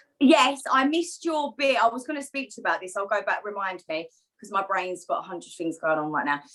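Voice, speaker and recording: With an Essex accent, a woman talks at a fairly quick pace in a fairly high pitch, with very wide pitch swings and big swings in loudness. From Essex, England. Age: 20s. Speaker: co-host of a women's wellbeing group. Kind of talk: casual chat. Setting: video call.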